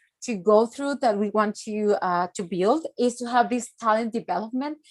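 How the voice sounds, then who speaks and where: Her voice is fairly high-pitched with ordinary pitch variation, and the sound is dry and close with no echo. The woman speaks at a moderate pace with a Spanish accent. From Mexico. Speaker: youth organization director. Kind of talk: conference presentation. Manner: halting, many fillers.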